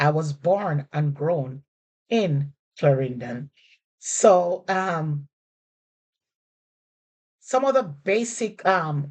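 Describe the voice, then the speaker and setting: A woman speaks at a very slow pace with a Jamaican accent, her pitch very deep and low, her intonation lively. Long, frequent pauses break up her speech, and the sound is dry and close with no echo. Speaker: language teacher. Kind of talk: casual lesson to camera.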